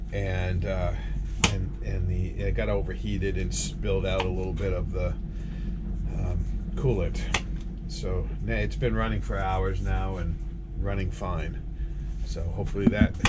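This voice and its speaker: Over loud background noise, a man speaks with long, frequent pauses. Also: fairly slow pace. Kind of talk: casual vlog chat. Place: boat. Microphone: phone near.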